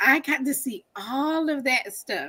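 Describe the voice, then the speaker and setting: A woman with a Southern US accent speaks in a bright, sharp tone on a very clean recording with a silent background. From North Carolina, Wilson. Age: 40s. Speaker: author and teacher. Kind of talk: interview.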